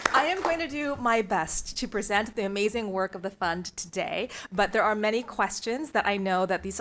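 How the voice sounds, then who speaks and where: A woman speaks at medium pitch with ordinary pitch variation and a moderate pace. It is an ordinary speaking voice on a very clean recording with a silent background. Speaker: nonprofit fund board chair presenting to school board. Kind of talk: formal presentation. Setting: public board meeting.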